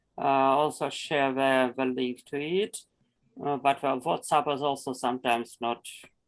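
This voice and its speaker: Speaking with a strong Russian accent, a man at medium pitch keeps a moderate pace and fairly even intonation. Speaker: environmental nonprofit project leader. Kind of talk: online meeting presentation. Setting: video call. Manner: halting, with many repetitions.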